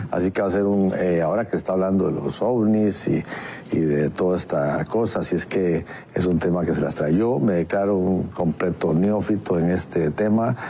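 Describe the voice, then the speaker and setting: A man's very deep, low voice with ordinary pitch variation and very even loudness, at a moderate pace over noticeable background noise. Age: 60s. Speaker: radio co-host. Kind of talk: radio talk show. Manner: halting.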